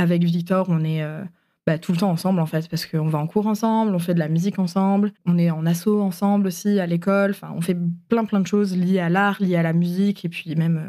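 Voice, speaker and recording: Over a very clean, silent background, a woman with a dark, mellow tone and fairly low pitch speaks at a fairly quick pace with monotone, flat intonation. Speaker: podcast guest telling her love story. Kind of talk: personal storytelling interview. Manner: hesitant, many fillers.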